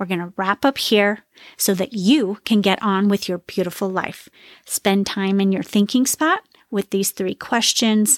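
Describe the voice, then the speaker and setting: A woman speaks at medium pitch with ordinary pitch variation and a fairly slow pace. The sound is dry and close, with no echo. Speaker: podcast host and wellness coach. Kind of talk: solo podcast monologue. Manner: loud.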